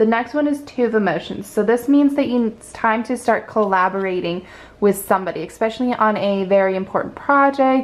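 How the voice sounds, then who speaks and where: A woman speaks at a moderate pace in an ordinary speaking voice with ordinary pitch variation. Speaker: tarot card reader. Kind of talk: pick-a-card tarot reading. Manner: casual, encouraging.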